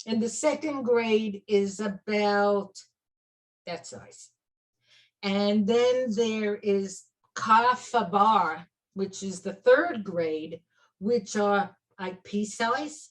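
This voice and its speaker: At a very slow pace, a woman with a Brooklyn accent speaks at medium pitch with ordinary pitch variation, big swings in loudness and long, frequent pauses. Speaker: clinical aromatherapist and teacher. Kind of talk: interview chat.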